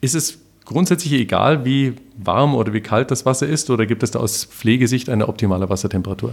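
A man with a plain, everyday voice speaks at a fairly quick pace and a medium pitch, with ordinary pitch variation and very even loudness. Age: 50s. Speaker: podcast host. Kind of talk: interview.

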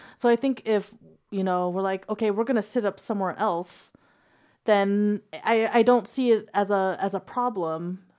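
On a very clean recording with a silent background, a woman with an unremarkable speaking voice speaks at a moderate pace and medium pitch with fairly even intonation. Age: 30s. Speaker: podcast co-host. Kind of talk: casual banter. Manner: joking, teasing.

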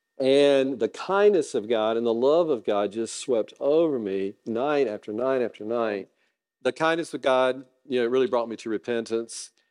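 The speaker has a Southern US accent and ordinary pitch variation. The pace is moderate, and the background is quiet. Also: man, medium pitch for a man. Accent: Southern US (Georgia). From US South, North Georgia. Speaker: guest preacher, lawyer. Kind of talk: sermon.

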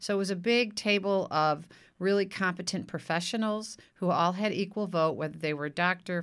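In an American accent, a woman uses a normal speaking voice at a fairly quick pace with fairly even intonation. The recording is very clean, with a silent background. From US Midwest. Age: 60s. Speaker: city council candidate. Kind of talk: casual interview.

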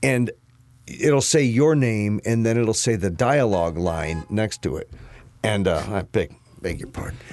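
A man with an unremarkable speaking voice and an American accent talks at a fairly slow pace. His pitch is fairly low and his intonation lively. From US Midwest, St. Louis area, Missouri. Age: 50s. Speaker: actor. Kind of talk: casual chat.

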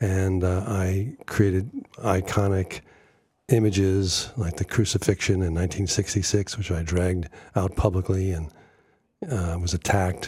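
A man's somewhat breathy, very deep, low voice with a dark, mellow tone, fairly slow pace and fairly even intonation, on a very clean recording with a silent background. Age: 70s. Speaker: prank artist. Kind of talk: radio interview. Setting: studio.

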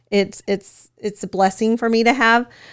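On a very clean recording with a silent background, a woman talks at a moderate pace with monotone, flat intonation. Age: 30s. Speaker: senior living community manager. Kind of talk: casual interview. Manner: hesitant with many fillers.

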